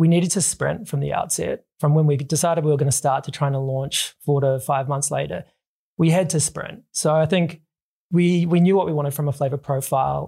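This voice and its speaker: A man's somewhat breathy, dark, mellow voice sits fairly high in pitch with fairly even intonation. He talks at a fairly quick pace on a very clean recording with a silent background. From New Zealand. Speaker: drinks company co-founder. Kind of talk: interview.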